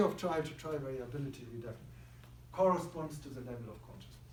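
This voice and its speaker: A man with a fairly high pitch talks very fast in a somewhat breathy voice, with audible room echo. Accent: German. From Germany. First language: German. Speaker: psychiatrist and neuroscience researcher. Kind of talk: lecture.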